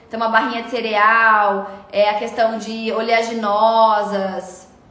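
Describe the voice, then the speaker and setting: A woman talks at a fairly slow pace with monotone, flat intonation over noticeable background noise. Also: fairly high pitch for a woman. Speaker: nutritionist. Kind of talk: live stream Q&A.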